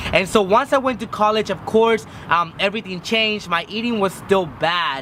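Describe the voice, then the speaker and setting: A man's raised, projected voice at a high pitch, moderate pace and ordinary pitch variation, over noticeable background noise. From Mexico. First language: Spanish. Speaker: vlogger. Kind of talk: personal vlog.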